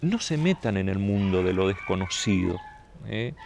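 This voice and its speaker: With very wide pitch swings, a man speaks in a dry recording with no echo and light background noise. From Saladas, Corrientes, Argentina; Corrientes, Argentina. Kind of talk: interview. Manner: halting, many repetitions and fillers. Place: garden.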